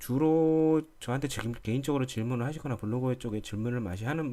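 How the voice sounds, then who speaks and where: Speaking at a fairly quick pace, a man uses a dark, mellow tone at medium pitch. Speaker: lighting software instructor. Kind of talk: tutorial. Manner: hesitant, many fillers.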